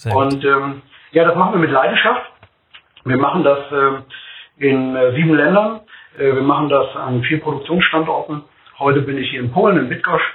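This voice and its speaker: Speaking at a moderate pace, a man with a fairly high pitch and ordinary pitch variation leaves long, frequent pauses. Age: 50s. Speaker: food company executive. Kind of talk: podcast interview.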